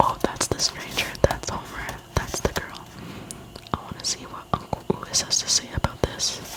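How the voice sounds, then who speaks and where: Whispering at a moderate pace, a woman's loudness swings widely over noticeable background noise. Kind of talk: storybook reading, dialogue performed. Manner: whispered, soft-spoken.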